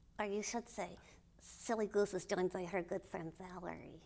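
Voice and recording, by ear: Using a put-on character voice, a woman speaks at medium pitch and a moderate pace.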